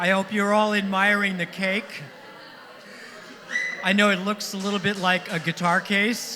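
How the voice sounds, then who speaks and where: Against noticeable background noise, a high-pitched man speaks in a raised, projected voice. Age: 70s. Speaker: songwriter celebrating his birthday. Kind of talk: party speech. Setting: stage with audience.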